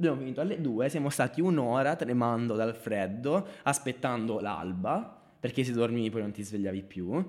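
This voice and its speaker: With a normal speaking voice, a man speaks fairly quickly at a medium pitch, his intonation lively. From southern Italy, Basilicata (Marconia). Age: 20s. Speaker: video producer. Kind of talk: casual interview.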